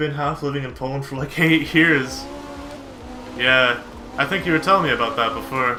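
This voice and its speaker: A man with a medium pitch speaks at a moderate pace, using ordinary pitch variation and long, frequent pauses. Music plays in the background, and audible room echo surrounds him. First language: Polish. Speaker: video game streamer. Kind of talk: casual live-stream chat with gameplay commentary. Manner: casual, animated.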